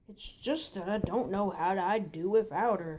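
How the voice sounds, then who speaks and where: This is a put-on character voice. Its pitch sits in the middle range. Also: female-sounding voice, moderate pace. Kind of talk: fan parody dub. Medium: fan dub. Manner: hesitant.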